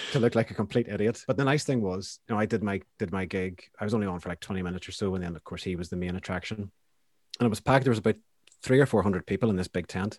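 With a Northern Irish accent, a man talks at a very fast pace and a fairly low pitch with ordinary pitch variation, in a very clean, dry, close recording with no echo and a silent background. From Northern Ireland, County Down (Banbridge). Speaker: poet. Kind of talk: casual interview.

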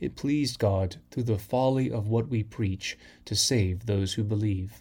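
A man's somewhat breathy voice, fairly low in pitch, at a fairly slow pace with fairly even intonation, on a very clean recording with a silent background. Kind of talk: liturgical reading of scripture lessons and prayers, solemn and measured. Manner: formal, slow, reverent, steady cadence.

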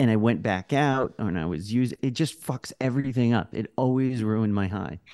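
The man has an unremarkable speaking voice at a medium pitch, moving at a moderate pace. His ordinary pitch variation comes through in a dry, close sound with no echo. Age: middle-aged. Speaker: podcast co-host. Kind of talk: reading listener reviews; casual chat. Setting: video call.

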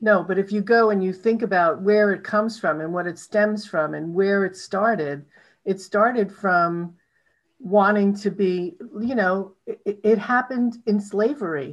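A woman with an American accent and a normal speaking voice talks at a medium pitch and a fairly slow pace. Her pitch varies in an ordinary way, against a quiet background. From New York City. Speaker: podcast host. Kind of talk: interview. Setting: call.

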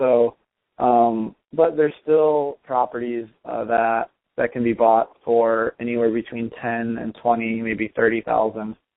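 A man speaks with a Michigan accent. His intonation stays fairly even. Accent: Midwestern American (Michigan). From Michigan, suburbs of Detroit. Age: young. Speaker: real estate investor. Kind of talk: interview.

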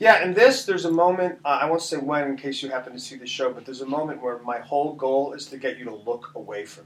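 With an American accent, a man talks at a very fast pace with hardly any pauses and ordinary pitch variation. His loudness swings widely over noticeable background noise. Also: fairly high pitch for a man. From US Northeast, central Connecticut. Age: 40s. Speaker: stage actor. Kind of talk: casual chat.

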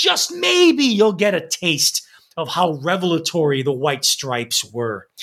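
His intonation is lively and his pitch is high for a man. He speaks at a fairly slow pace. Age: 40s. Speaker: music podcast co-host. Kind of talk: scripted narration.

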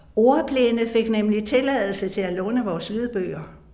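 Audible room echo surrounds this voice. Its pitch varies in an ordinary way, and the pace is fairly slow. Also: woman. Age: 80s+. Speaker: retired teacher and audiobook narrator. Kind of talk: reading aloud own memoir.

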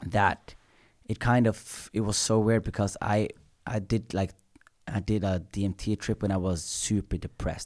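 A man talks at a fairly slow pace in a normal speaking voice, with a fairly low pitch and fairly even intonation. The recording is very clean, with a silent background. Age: 20s. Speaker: comedian. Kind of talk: casual chat.

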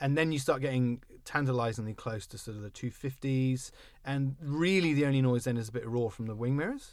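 An ordinary speaking voice at a fairly quick pace, with ordinary pitch variation and a very clean recording, silent background. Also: man, medium pitch for a man. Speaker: car podcast host. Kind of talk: casual chat. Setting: studio. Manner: joking, self-deprecating.

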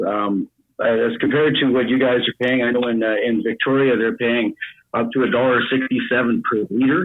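A man talks in an ordinary speaking voice at medium pitch and a moderate pace. His loudness stays very even and his intonation fairly even. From Canada. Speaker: mine worker, caller. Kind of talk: casual call-in chat.

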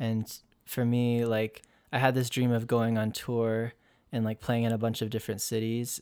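On a very clean recording with a silent background, a man speaks at a moderate pace with monotone, flat intonation. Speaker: musician and organizer. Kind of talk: casual chat. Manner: calm.

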